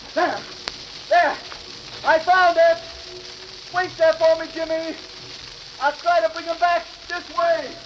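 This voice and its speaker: Monotone, flat intonation runs at a fairly slow pace with long, frequent pauses, over noticeable background noise. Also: man, extremely high pitch for a man. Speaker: radio drama actor playing a sailor. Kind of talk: 1940s radio drama dialogue. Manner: urgent, determined.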